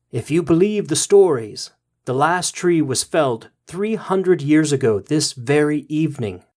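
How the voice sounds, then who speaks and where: In a very clean recording with a silent background, a man speaks quietly at a moderate pace in a fairly high-pitched, put-on character voice. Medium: read story. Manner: quiet, knowing, calm.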